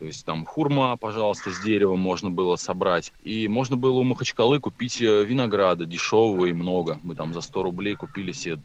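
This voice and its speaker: An ordinary speaking voice from a man, fairly low in pitch, at a fairly quick pace with hardly any pauses and ordinary pitch variation. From Russia, Tver. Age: 30s. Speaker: motorcycle traveler, trampoline gym owner. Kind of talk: casual interview.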